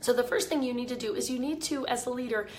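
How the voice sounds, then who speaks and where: A woman's voice with audible room echo. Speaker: leadership coach. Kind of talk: live video talk. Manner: casual, with fillers.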